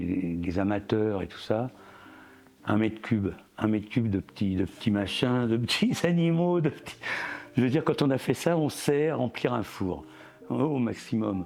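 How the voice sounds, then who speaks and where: Fairly low male speech at a fairly slow pace, with music in the background. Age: 70s. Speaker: ceramic artist. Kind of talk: interview. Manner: halting, many hesitations.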